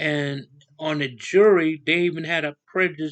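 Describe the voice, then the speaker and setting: A man with an American accent and a fairly high-pitched voice talks with fairly even intonation. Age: 60s. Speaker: YouTuber, Native rights commentator. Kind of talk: casual monologue, video commentary. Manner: halting, many fillers.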